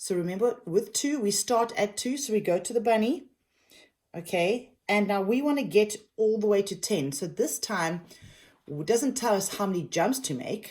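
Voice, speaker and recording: The recording is very clean and the background silent. A woman talks with lively intonation. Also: medium pitch for a woman. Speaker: kindergarten teacher. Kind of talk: tutorial. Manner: slow.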